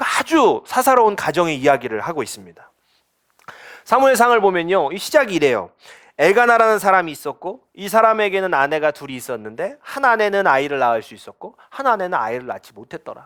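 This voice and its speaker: A high-pitched man speaks with very wide pitch swings and big swings in loudness. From Chungcheong, South Korea. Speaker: pastor. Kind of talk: sermon. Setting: church.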